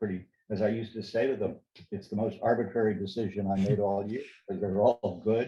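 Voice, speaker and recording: A man talks at a very fast pace in a flat monotone. His loudness swings widely. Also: fairly low pitch for a man. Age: 80s+. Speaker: federal judge. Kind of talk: interview answer.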